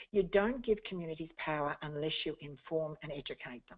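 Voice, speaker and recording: Speaking at a moderate pace with an Australian accent, a woman uses a fairly low pitch and lively intonation. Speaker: community engagement consultant. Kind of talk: webinar presentation. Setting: webinar.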